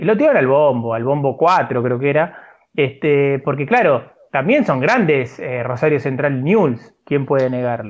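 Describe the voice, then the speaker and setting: In a plain, everyday voice, a man speaks at a fairly slow pace with a fairly high pitch and ordinary pitch variation. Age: 40s. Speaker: sports podcast co-host. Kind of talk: casual chat.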